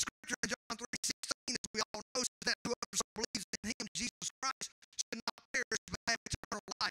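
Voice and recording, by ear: A man talks at a fairly quick pace with fairly even intonation, his bright, sharp tone sitting at an extremely high pitch. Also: dry, close sound with no echo.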